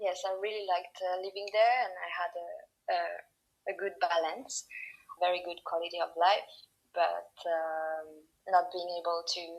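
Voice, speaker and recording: A woman's fairly low-pitched voice with a French accent, fairly even intonation, and a fairly slow pace. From France, Paris suburbs. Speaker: podiatrist. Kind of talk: interview. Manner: halting.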